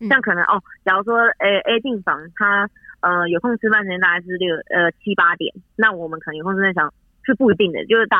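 A woman talks very fast at a medium pitch, with ordinary pitch variation. Her loudness rises and falls sharply. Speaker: nurse. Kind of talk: interview.

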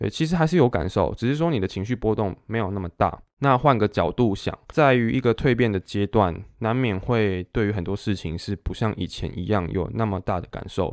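With hardly any pauses, a man speaks in a fairly low pitch and lively intonation, in a dry, close, very clean recording with no echo and a silent background. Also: fairly quick pace. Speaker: podcast host and dance teacher. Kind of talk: casual solo monologue. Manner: halting, many fillers and self-corrections.

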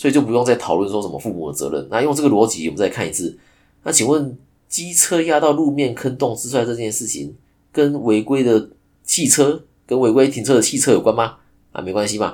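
A man talks at a very fast pace with vocal fry and lively intonation, his pitch medium and his tone dark and mellow. The recording is very clean with a silent background. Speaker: podcast host, insurance agent. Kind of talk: solo podcast monologue. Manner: casual, filler-heavy. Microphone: new microphone.

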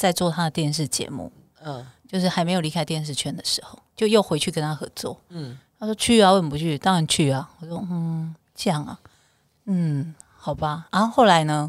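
A woman speaks at a fairly quick pace with a fairly low pitch. Her pitch varies in an ordinary way. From southern Taiwan, Kaohsiung. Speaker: bestselling author and voice-over talent. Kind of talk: casual chat.

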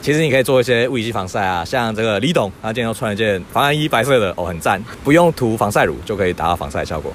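With lively intonation and hardly any pauses, a man talks at a very fast pace over noticeable background noise. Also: medium pitch for a man. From Taiwan, Keelung. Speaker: marine biology researcher. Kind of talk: casual interview. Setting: outdoors at the seaside.

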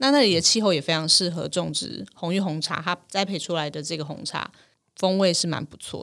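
The speech moves at a fairly quick pace with ordinary pitch variation. Loudness swings widely. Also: woman, fairly low pitch for a woman. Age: 40s. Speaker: tea podcast host. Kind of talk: casual chat.

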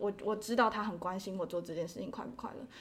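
A woman talks at a very fast pace. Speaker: interpreting graduate student. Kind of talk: casual interview.

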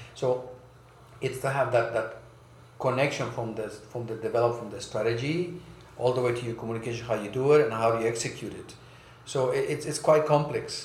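A man of medium pitch talks at a fairly quick pace with fairly even intonation and big swings in loudness, with audible room echo. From South America and US, raised mostly in Germany. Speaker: brand strategy consultant. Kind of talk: interview. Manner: hesitant, many fillers.

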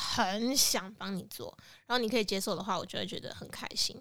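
Here a woman talks at a very fast pace. Her pitch is fairly high, with ordinary pitch variation. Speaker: podcast co-host. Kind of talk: casual chat.

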